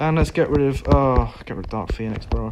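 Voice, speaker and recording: A British accent with ordinary pitch variation. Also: man. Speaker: gaming streamer. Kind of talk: casual live stream commentary.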